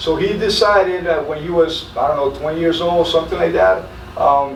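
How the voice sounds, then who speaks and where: Fairly even in intonation, a man's high-pitched voice comes through with audible room echo and noticeable background noise. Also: moderate pace. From Colombia, Medellin. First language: Spanish. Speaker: military senior NCO. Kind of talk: interview storytelling. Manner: halting, many fillers and repeats.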